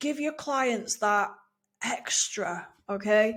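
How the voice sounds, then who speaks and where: A woman talks with an English accent and ordinary pitch variation. Her recording is very clean, the background silent. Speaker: email marketing coach, former teacher. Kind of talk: video tutorial. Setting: video recording. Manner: laid back, soft-spoken; casual, chatty.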